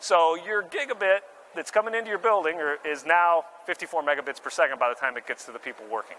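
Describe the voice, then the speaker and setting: Speaking at a very fast pace, a man uses a high pitch with lively intonation. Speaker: marketing director presenting at tech expo. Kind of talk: conference presentation.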